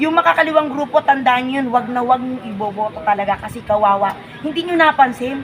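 A woman's high-pitched, animated voice at a fairly quick pace, with lively intonation, big swings in loudness, and crowd noise in the background. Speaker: political vlogger. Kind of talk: casual political commentary.

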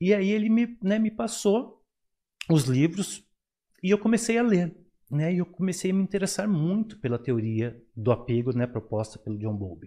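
A dark, mellow tone goes with very wide pitch swings. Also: man, high pitch for a man, moderate pace, quiet background. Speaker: psychologist and professor. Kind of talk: interview on psychology. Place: studio. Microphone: studio mic.

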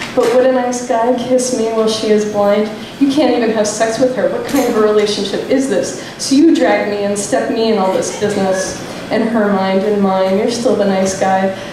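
Amid noticeable background noise and strong room echo, a woman speaks at a moderate pace in a fairly high pitch with fairly even intonation. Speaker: slam poet. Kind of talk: spoken word poetry performance, rhymed and confessional. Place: stage.

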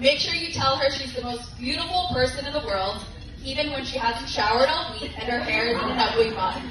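Over clear background noise, a woman speaks at a high pitch with ordinary pitch variation. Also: fairly quick pace.

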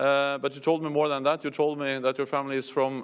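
Moderate pace against a quiet background. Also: man. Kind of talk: speech opening remarks. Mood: warm, lightly humorous. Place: hall. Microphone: podium.

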